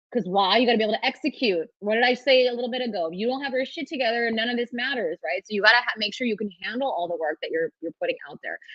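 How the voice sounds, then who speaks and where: With a Californian accent, a woman talks at a very fast pace in a fairly high pitch with lively intonation. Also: hardly any pauses. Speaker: trademark lawyer. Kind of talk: webinar talk with Q&A. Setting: virtual summit video call. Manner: casual, fast with many restarts.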